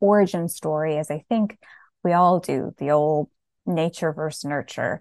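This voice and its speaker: With an American accent, a woman speaks in an ordinary speaking voice at a fairly low pitch and a fairly slow pace, in a dry, close sound with no echo and a quiet background. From New Jersey. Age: 30s. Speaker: horror novelist. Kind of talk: interview.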